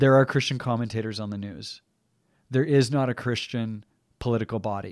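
In an ordinary speaking voice with a Canadian accent, a man talks at a fairly quick pace and medium pitch, with ordinary pitch variation and big swings in loudness, in a very clean recording with a silent background. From Canadian prairies, rural. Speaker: podcast co-host. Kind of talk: casual discussion.

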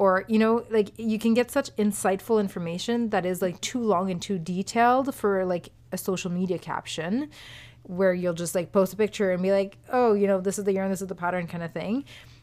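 In a very clean recording with a silent background, a woman speaks in a normal speaking voice at a medium pitch. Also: ordinary pitch variation, fairly quick pace. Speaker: podcast co-host. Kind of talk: casual chat. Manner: laughs often.

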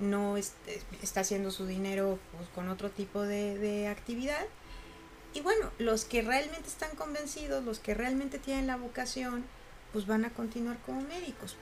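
Over music in the background, a woman with a Mexican accent speaks at a fairly slow pace with a fairly high pitch and lively intonation. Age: 40s. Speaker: university professor and coach. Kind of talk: casual interview chat.

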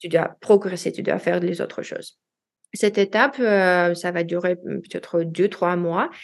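Against a quiet background, a woman speaks at a fairly slow pace. Her pitch is fairly low and her intonation fairly even. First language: Russian (speaking French). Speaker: language learner, expatriate. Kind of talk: interview. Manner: halting.

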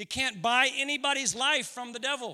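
A man's raised, projected voice comes across bright and sharp, with a warm, animated tone. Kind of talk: sermon. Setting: church. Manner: animated, earnest preacher, rhetorical questions building to an emotional pitch; warm and conversational, joking, shifting into fervent prayer.

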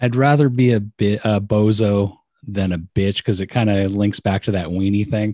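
A man with a Californian accent talks at a moderate pace in a fairly low, dark, mellow voice, his intonation fairly even and his loudness very even. The recording is very clean, with a silent background. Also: dry, close sound with no echo. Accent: general American, Californian. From San Francisco Bay Area, California. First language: Portuguese. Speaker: comedian podcaster, dad. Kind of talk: casual chat with swearing. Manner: casual, profane.

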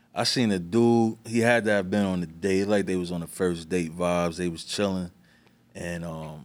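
In a New York accent, someone speaks at a moderate pace with ordinary pitch variation on a very clean recording with a silent background. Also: man. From New York, the Bronx. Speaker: music producer. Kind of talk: casual chat.

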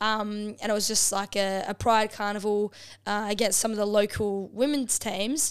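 A woman with an Australian accent and monotone, flat intonation. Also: medium pitch for a woman, moderate pace, very clean recording, silent background. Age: 20s. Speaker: professional women's footballer. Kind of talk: casual chat. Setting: home lounge room.

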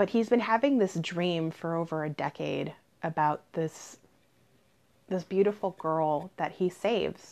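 A woman with an ordinary speaking voice, fairly low in pitch, ordinary pitch variation and a fairly slow pace, against a quiet background. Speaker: podcast co-host and novelist. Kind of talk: casual intro.

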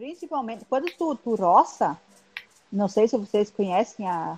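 A woman's medium-pitched voice, fairly slow and lively in intonation, with music in the background. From Guarani village, northern Rio Grande do Sul, Brazil. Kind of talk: casual chat. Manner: halting.

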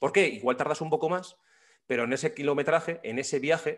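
Words pour out very rapidly from a man speaking in a quiet setting. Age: 30s. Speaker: podcast host, journalist. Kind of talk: interview.

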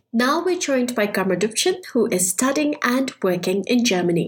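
A woman's fairly high voice at a moderate pace amid noticeable background noise. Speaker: podcast host. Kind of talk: casual interview. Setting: online call.

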